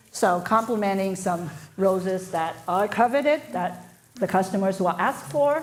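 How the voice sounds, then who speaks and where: A woman with a Japanese accent, with audible room echo. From Japan, moved to North America at twelve. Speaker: floral designer. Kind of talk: live demonstration. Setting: stage with audience, livestreamed.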